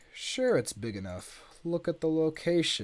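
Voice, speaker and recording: A man adopts a put-on character voice, pitched fairly high and swinging very widely in pitch. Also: moderate pace. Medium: read story. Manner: gruff, curt.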